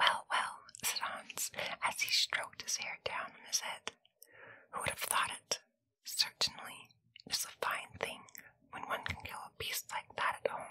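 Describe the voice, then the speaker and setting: The voice whispers at a fairly slow pace, broken by long, frequent pauses. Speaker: storyteller. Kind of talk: storytelling read-aloud. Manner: soft, hushed ASMR storytelling voice.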